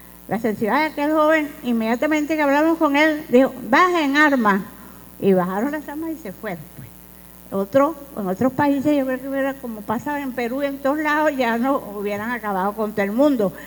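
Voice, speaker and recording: Lively in intonation and high in pitch, a woman talks at a fairly quick pace. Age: 80s+. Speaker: political activist and witness of history. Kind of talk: conference talk, personal testimony. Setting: conference with audience.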